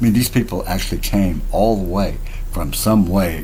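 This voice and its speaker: There is audible room echo and noticeable background noise as a man speaks with ordinary pitch variation. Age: 60s. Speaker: self-styled spiritual teacher vlogger. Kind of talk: casual monologue vlog. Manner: rambling with hesitations.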